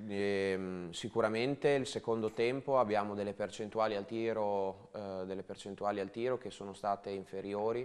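A normal speaking voice at a moderate pace, with fairly even intonation. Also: man. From Romagna, Italy; Italy. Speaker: handball coach. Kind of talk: casual chat. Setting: studio. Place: studio. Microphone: lapel.

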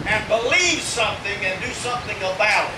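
A man at a fairly slow pace amid noticeable background noise. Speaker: evangelist preacher. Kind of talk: sermon. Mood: earnest, emotional. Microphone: camera far.

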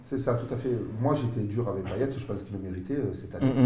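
Over light background noise and audible room echo, a man speaks at a fairly quick pace with fairly even intonation. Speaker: football pundit. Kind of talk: debate commentary. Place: studio. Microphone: lapel.

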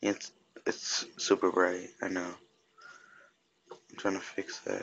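Very slow and quiet, a man talks with big swings in loudness. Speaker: gaming youtuber. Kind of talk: gameplay commentary. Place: home room. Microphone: phone near.

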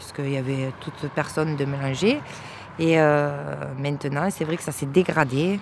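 A woman's very deep, low voice at a fairly slow pace, dry with no echo, over light background noise. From France, Marseille. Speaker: interviewee, party supporter; interviewee. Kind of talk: interview. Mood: calm, somewhat regretful. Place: open country.

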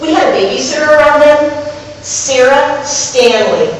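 A woman with a high pitch speaks at a fairly slow pace. Strong room echo and noticeable background noise surround her voice. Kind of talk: theatrical monologue. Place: stage.

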